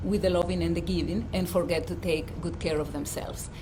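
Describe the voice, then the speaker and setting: Noticeable background noise and audible room echo are both present in this clip. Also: woman. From Dominican Republic. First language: Spanish. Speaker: life coach and physician. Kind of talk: livestream talk. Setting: outdoors.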